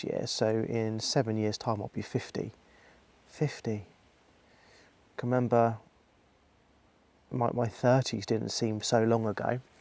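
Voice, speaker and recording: A man talks at a medium pitch and a fairly slow pace. His intonation stays monotone and flat. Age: 40s. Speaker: vlogger. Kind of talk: personal vlog monologue. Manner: hesitant, with many fillers.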